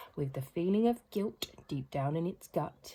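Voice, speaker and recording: Speaking fairly slowly with a British accent, a woman uses a fairly low, somewhat breathy voice with a dark, mellow tone and very wide pitch swings. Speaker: children's book reader. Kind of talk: reading aloud. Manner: rhythmic storytelling.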